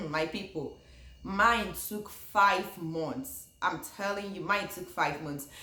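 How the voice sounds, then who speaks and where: The speaker has a Nigerian accent, and noticeable background noise runs through the clip. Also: woman. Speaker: YouTuber, former international graduate student. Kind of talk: casual talk to camera.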